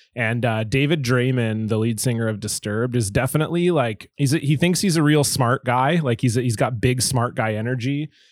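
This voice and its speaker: A man with a Canadian accent and an ordinary speaking voice talks at a medium pitch and a fairly quick pace. His loudness is very even, his pitch variation ordinary, and the recording very clean with a silent background. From Canada, Southern Ontario and British Columbia. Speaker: podcast guest, musician. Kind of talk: casual chat.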